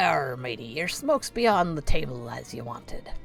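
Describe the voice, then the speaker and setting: A put-on character voice sits at a low-to-middle pitch and moves at a moderate pace. Clear background noise is present. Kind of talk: pirate-style, gruff.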